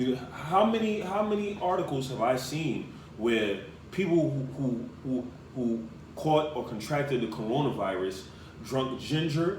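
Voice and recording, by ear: In a room with audible echo, a man speaks with lively intonation in a medium-pitched voice with a slightly mellow tone. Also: fairly slow pace.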